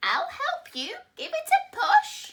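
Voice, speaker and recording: This is a put-on character voice at an extremely high pitch. It sounds squeaky and croaky. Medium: read story. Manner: croaking.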